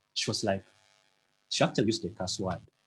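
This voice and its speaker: A man speaks while music plays in the background. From Uganda. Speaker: motivational speaker. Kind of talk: motivational talk.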